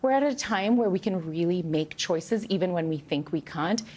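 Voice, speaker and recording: In a very clean recording with a silent background, a woman with a medium pitch speaks with a non-native accent. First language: not English. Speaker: author. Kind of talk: TV news interview. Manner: conversational, frequent fillers.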